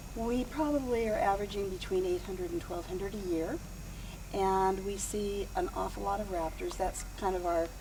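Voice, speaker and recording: Over audible room echo, a woman of medium pitch talks at a moderate pace with ordinary pitch variation. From California, San Joaquin Valley. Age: 60s. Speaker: wildlife rehabilitator. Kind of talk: interview.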